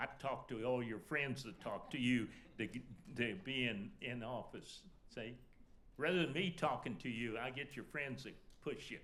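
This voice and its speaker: With an American accent, a man at a medium pitch speaks in a bright, sharp tone with ordinary pitch variation, and audible room echo surrounds him. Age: 80s+. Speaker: alumni panelist. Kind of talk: panel discussion. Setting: stage with audience.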